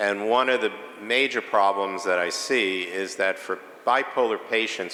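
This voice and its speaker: Over noticeable background noise, a man in a New York accent speaks slowly-ish at a fairly slow pace, with a fairly low pitch and fairly even intonation. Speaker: psychiatrist, conference speaker. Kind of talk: lecture. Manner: hesitant, many filler sounds.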